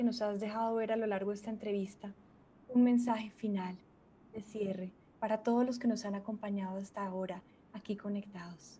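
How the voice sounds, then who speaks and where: Fairly quick and fairly even in intonation, a woman with a dark, mellow tone speaks with a Colombian accent. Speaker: journalist and interviewer. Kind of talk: interview.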